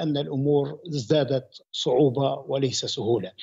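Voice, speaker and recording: A man's very slow speech plays out over a quiet background. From Libya. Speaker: political analyst. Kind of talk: news interview. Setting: remote video link. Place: home room.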